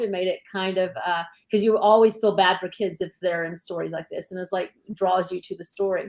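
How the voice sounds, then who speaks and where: The speaker has an American accent and a plain, everyday voice. The pace is moderate and the intonation fairly even. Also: woman. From Texas. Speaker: actress and teacher. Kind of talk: interview.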